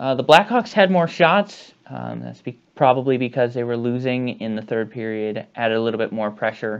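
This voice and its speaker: A man at a moderate pace with hardly any pauses, ordinary pitch variation and big swings in loudness, over a quiet background. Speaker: sports vlogger. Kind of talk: sports recap commentary. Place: home room. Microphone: earbuds.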